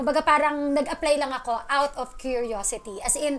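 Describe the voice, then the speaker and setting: This woman's voice is high-pitched, and its pitch moves in an ordinary way. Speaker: radio DJ. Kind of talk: interview.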